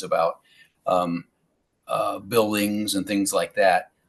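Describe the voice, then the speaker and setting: A man with a US Midwestern accent, at a fairly slow pace. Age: 60s. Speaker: school board candidate. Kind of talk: interview. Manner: halting, many fillers.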